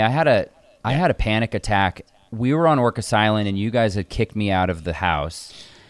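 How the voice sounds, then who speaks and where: A man with a normal speaking voice and medium pitch talks at a fairly quick pace with lively intonation. The sound is dry and close, with no echo. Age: 30s. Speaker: screenwriter, son of the host. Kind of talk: casual chat.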